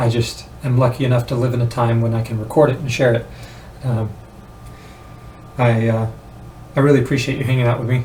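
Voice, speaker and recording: The man talks at a fairly quick pace with long, frequent pauses, and there is noticeable background noise. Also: medium pitch for a man. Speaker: vlogger on weight loss. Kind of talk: casual vlog monologue. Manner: halting, many fillers; animated.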